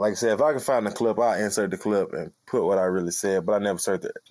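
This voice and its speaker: An unremarkable speaking voice belongs to a man with fairly low pitch and ordinary variation. The recording is very clean and dry, close with no echo and a silent background. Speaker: podcast co-host, former football player. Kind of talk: casual chat.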